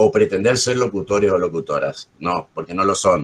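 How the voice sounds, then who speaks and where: A man speaks with a Corrientes accent. His pace is fairly slow. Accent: Corrientes accent, assibilated R. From Argentina, Corrientes. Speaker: journalist and literature teacher. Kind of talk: workshop teaching.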